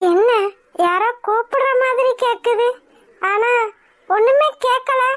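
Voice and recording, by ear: In a cartoonish character voice, a woman speaks very slowly at an extremely high pitch.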